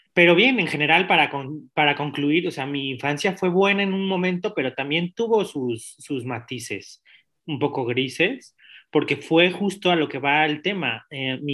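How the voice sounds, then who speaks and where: A man with an ordinary speaking voice, a fairly high pitch, and lively intonation speaks at a fairly slow pace. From Mexico City. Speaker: interview guest. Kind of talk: personal testimony.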